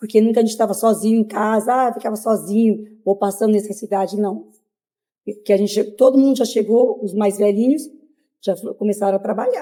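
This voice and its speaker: Talking at a fairly quick pace, a woman uses a monotone, flat intonation with a fairly high pitch and a dark, mellow tone. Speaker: migrant interviewee. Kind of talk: interview. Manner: hesitant, many fillers.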